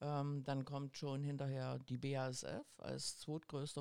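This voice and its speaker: At a very slow pace, a woman speaks in a very deep, low pitch with a dark, mellow tone. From East Germany. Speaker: trade union district leader. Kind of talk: casual podcast interview.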